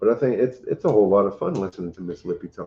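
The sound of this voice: A man speaks at a very fast pace with lively intonation. His pitch is fairly low, with a slightly husky edge.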